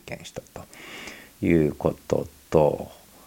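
Vocal fry marks a man's dark, mellow voice as he talks at a fairly slow pace. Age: 60s. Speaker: podcaster. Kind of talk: solo podcast monologue. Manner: casual, filler-heavy.

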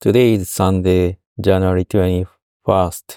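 A man with a Japanese accent talks at a very slow pace in a very deep, low pitch with a dark, mellow tone and fairly even intonation, in a dry, close sound with no echo. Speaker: voice diary podcaster. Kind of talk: monologue voice diary. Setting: car dealership.

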